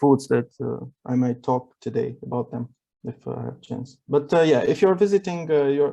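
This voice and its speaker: A man with a Romanian accent has a fairly high pitch, a dark, mellow tone and ordinary pitch variation. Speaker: event participant. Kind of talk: casual chat. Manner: halting.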